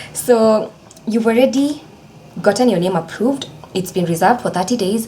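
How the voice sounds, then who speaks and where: There is noticeable background noise as a woman speaks. Her pace is fairly quick, with ordinary pitch variation. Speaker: legal educator, video creator. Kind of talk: tutorial. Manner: fast; casual, chatty.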